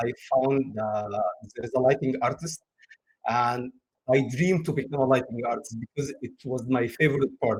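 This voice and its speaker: A somewhat breathy man speaks at a moderate pace, medium in pitch with ordinary pitch variation. The sound is dry and close with no echo. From Egypt. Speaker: game lighting artist. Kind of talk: interview. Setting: live stream. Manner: halting, with frequent uh fillers.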